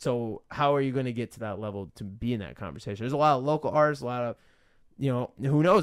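The man's speech races along at a very fast pace, with ordinary pitch variation and a quiet background. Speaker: interviewer and channel host; interviewer, channel host. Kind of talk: casual interview. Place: home room. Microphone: studio mic.

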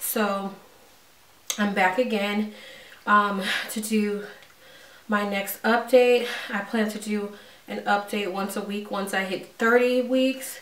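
A woman at a very slow pace and medium pitch, with audible room echo. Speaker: vlogger. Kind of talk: casual vlog update. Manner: hesitant, many fillers.

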